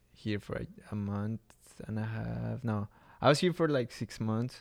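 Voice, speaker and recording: A man with a Mexican accent, fairly low in pitch, at a fairly slow pace. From Mexico City, Mexico. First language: Spanish. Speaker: artist and traveler. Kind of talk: casual interview chat.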